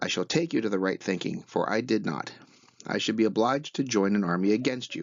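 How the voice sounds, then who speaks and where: Putting on a character voice, a man speaks fairly quickly in a shrill tone at a medium pitch. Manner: pretentious.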